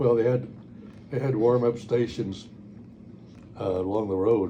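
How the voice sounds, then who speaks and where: A man speaks at medium pitch in a dark, mellow tone that is somewhat breathy. His intonation is fairly even and his pace fairly slow, with audible room echo. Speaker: war veteran. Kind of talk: oral history interview. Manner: halting.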